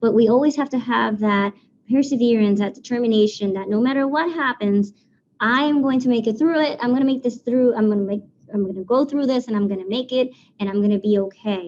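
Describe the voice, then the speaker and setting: A woman with a Spanish accent at a very fast pace, her pitch varying in an ordinary way. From Puerto Rico. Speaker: civil engineer. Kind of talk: presentation.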